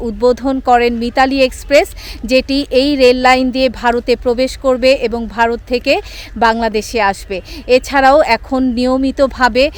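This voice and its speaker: Here a woman speaks in a high pitch with monotone, flat intonation. Noticeable background noise runs behind her. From Bangladesh. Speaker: travel vlogger. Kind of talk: documentary-style vlog narration. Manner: formal.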